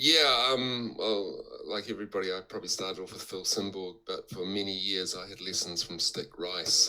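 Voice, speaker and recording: A bright, sharp tone with a New Zealand accent, moderate pace, hardly any pauses, ordinary pitch variation and big swings in loudness. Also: man, fairly low pitch for a man. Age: 60s. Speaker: backgammon player and teacher. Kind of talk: interview. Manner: halting, many fillers.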